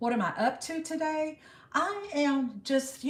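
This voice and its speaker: A woman with an American accent sounds relaxed and somewhat breathy. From United States. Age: 60s. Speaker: live-stream host. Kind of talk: casual live-stream chat. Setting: live stream. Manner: relaxed, chatty.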